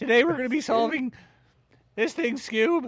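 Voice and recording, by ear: A man performs a put-on character voice, extremely high in pitch. He delivers it at a moderate pace.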